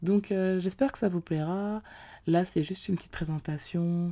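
Her tone dark and mellow, a woman talks at a fairly slow pace with fairly even intonation in a very clean recording with a silent background. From France. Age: 20s. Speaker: podcast host. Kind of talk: casual monologue. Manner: hesitant, many fillers.

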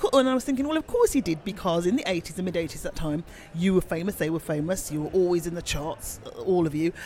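A speaker with a Birmingham accent talks at a very fast pace. The intonation is lively. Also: man, high pitch for a man. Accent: Birmingham (Brummie) English. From Birmingham, England. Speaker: podcast host. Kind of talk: interview. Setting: bar.

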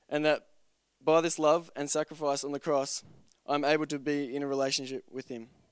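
A man with an Australian accent talks fairly quickly in a fairly high, monotone, flat voice, with a dry, close sound with no echo on a very clean recording with a silent background. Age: 20s. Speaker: church member being baptized. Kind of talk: testimony. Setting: church.

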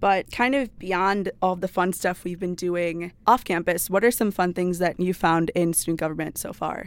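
A woman with an American accent and a normal speaking voice talks at a moderate pace with hardly any pauses. Her pitch is fairly low and her intonation fairly even, on a very clean recording with a silent background. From Wisconsin. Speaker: student government president. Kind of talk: casual chat.

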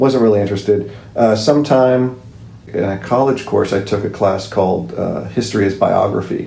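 A man with an American accent speaks at a fairly low pitch, with audible room echo and noticeable background noise. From Southern California. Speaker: historian and George Washington reenactor. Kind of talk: interview.

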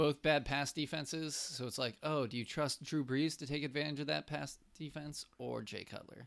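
At a moderate pace and with hardly any pauses, a man with a fairly high pitch speaks in an unremarkable speaking voice. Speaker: sports podcast co-host. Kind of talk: casual chat.

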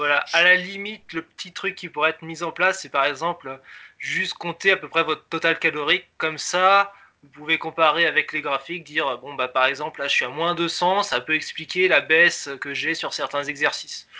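Big swings in loudness mark this man's high-pitched voice, which moves at a moderate pace with fairly even intonation. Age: 20s. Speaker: software developer, app creator. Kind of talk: casual interview.

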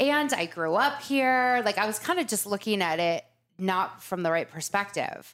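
A woman's medium-pitched voice with an American accent, very wide pitch swings, very even loudness and a moderate pace, on a very clean recording with a silent background. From Laguna Beach, Southern California. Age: 40s. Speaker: beauty shop founder. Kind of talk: casual interview.

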